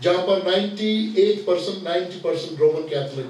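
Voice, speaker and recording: Over noticeable background noise, a man talks at a high pitch with lively intonation. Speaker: Presbyterian pastor and preacher. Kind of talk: sermon / seminar lecture to pastors. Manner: conversational, explanatory, slightly humorous.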